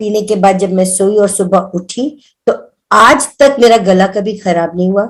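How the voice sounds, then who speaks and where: Her voice shows ordinary pitch variation and a medium pitch for a woman. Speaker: devotee sharing spiritual experiences. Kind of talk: testimony. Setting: video call. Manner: loud.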